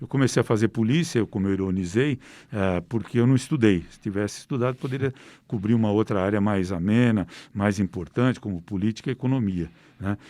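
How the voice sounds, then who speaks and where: Fairly quick speech from a man, fairly low-pitched with a dark, mellow tone, ordinary pitch variation and big swings in loudness, on a very clean recording with a silent background. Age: 60s. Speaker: investigative crime reporter. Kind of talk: interview.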